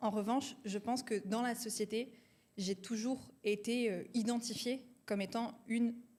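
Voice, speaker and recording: A woman with a somewhat breathy, fairly high-pitched voice speaks at a moderate pace with fairly even intonation. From France, Marseille. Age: 20s. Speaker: entrepreneur, company co-founder. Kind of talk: casual interview chat.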